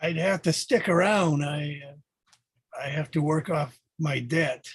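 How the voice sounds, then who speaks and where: Using a put-on character voice, a man speaks raspy and fairly high-pitched at a fairly slow pace. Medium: actual play. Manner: guarded, evasive.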